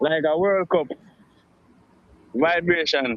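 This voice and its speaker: A man speaks at a fairly slow pace. His voice is high, with ordinary pitch variation. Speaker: radio show guest. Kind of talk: live radio interview answer. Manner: hesitant, reflective.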